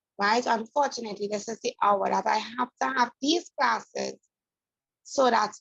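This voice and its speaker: A woman's fairly high-pitched voice carries noticeable vocal fry. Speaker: math teacher. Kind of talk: online class lecture. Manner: soft-spoken.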